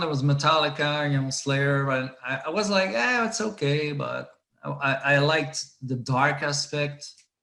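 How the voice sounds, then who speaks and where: A man with a fairly high pitch speaks fairly slowly, his pitch varying in an ordinary way. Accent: Quebec. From Quebec, Saguenay region. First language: French. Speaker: metal band founder and musician. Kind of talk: interview. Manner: halting.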